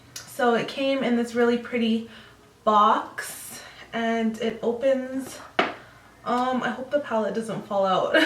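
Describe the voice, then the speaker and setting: A woman at a high pitch, very slow with long, frequent pauses and monotone, flat intonation, amid noticeable background noise and audible room echo. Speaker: beauty vlogger. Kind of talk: makeup review vlog. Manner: casual, many fillers.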